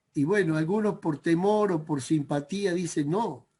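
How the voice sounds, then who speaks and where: The delivery is very slow. Pitch varies in an ordinary way over a quiet background. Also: man. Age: 60s. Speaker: preacher. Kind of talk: sermon. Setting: video call. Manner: halting.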